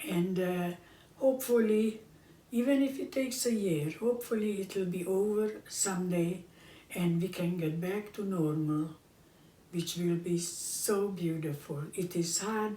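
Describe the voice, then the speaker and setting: Amid audible room echo, a woman of medium pitch talks at a fairly slow pace. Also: ordinary pitch variation. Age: 90s. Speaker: home cooking show host. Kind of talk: casual chat. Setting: at home, filmed by her son. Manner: halting.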